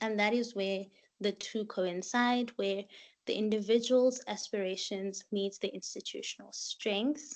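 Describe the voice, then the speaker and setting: Over a quiet background, a woman speaks at a fairly slow pace in a plain, everyday voice pitched fairly high. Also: fairly even intonation. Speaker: master's student. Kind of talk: workshop presentation.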